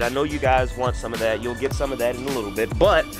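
The sound is dry with no echo as a man speaks. Clear music plays in the background. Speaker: channel host filming. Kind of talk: casual vlog chat. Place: garden.

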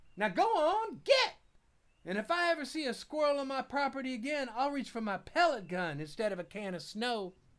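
A woman uses a gruff, put-on character voice, pitched high with very wide pitch swings. Her pace is fairly quick. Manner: gruff, scolding, threatening.

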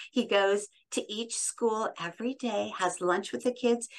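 Using a warm tone and lively intonation, a woman talks at a moderate pace in an American accent. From US Midwest (Iowa). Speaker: radio host and voiceover artist; interview guest. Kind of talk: interview conversation. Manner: warm, effusive. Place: home room. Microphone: studio mic.

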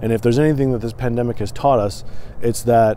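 With an American accent, a man talks at a medium pitch in a dry sound with no echo, over light background noise. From Michigan, partly US West Coast (Portland). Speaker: podcast host. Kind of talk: solo vlog monologue. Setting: recorded on camera. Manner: hesitant, many fillers. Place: open country. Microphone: phone near.

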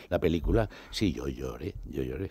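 The voice has vocal fry, a dark, mellow tone and very wide pitch swings at a moderate pace. The sound is dry with no echo, over a quiet background. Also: man. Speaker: veteran actor. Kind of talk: radio interview. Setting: radio studio. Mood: warm, reminiscing, emotional. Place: studio. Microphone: studio mic.

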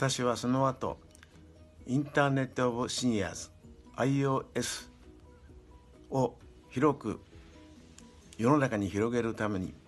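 Faint music plays behind a man who speaks at a fairly slow pace with fairly even intonation and long, frequent pauses. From Shimonoseki, Yamaguchi, Japan. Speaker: retired executive, senior association founder. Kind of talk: interview answer. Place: home room. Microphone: webcam.

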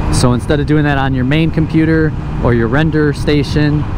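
Fairly quick speech, dry with no echo, over noticeable background noise. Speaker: motovlogger. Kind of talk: casual vlog chat. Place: motorbike. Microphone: helmet.

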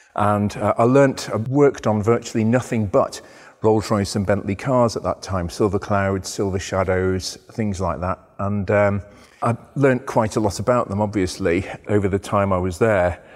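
A man talks in a plain, everyday voice at a moderate pace, his pitch fairly low. His intonation stays fairly even over a quiet background. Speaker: presenter. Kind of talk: presenting to camera, storytelling. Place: workshop.

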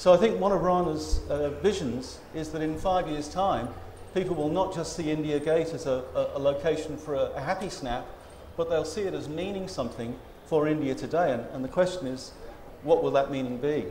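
A man with an Australian accent talks at a fairly quick pace with a fairly high pitch and ordinary pitch variation. Audible room echo and light background noise surround him. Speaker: historian. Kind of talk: panel discussion. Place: stage. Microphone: lapel.

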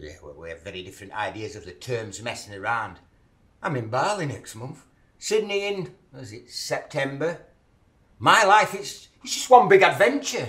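A man with vocal fry against a quiet background. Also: moderate pace, big swings in loudness. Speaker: actor in a scene. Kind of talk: acted dramatic dialogue. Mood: mocking, confrontational. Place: kitchen.

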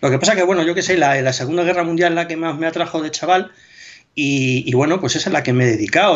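A man is speaking here. His pitch varies in an ordinary way, against a quiet background. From Spain. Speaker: military history blogger. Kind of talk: casual interview chat. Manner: hesitant, with repetitions. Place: home room. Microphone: video call.

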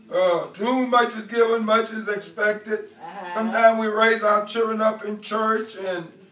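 A man speaks at a fairly slow pace in a high pitch. There is light background noise and audible room echo. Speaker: preacher. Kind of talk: sermon. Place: church.

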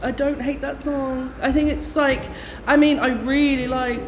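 Light background noise sits behind a woman speaking at a fairly slow pace in a high pitch. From English Midlands. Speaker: pop contest commentator. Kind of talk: casual chat. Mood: excited, chatty. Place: shop. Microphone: phone near.

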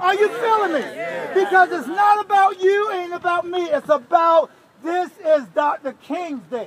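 A man's extremely high-pitched voice with ordinary pitch variation, at a fairly slow pace, over crowd noise in the background. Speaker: pastor, march organizer. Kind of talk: rousing pep talk to a crowd. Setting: outdoors. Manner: rousing, preacher-like.

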